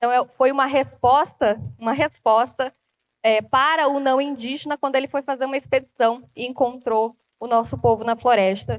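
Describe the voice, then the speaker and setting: Intonation stays fairly even as the speech moves at a moderate pace. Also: woman, high pitch for a woman. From Brazilian Amazon (Rondônia, Acre people). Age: 20s. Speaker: journalist and TV presenter. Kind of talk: public talk.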